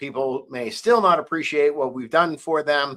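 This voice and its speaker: Lively intonation and a bright, sharp tone mark this man's voice. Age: 60s. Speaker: livestream show host. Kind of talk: casual livestream monologue. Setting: live stream.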